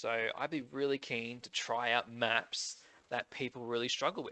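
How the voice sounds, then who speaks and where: A man with an Australian accent. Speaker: gaming youtuber. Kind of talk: casual gaming commentary. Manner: casual, hesitant with fillers.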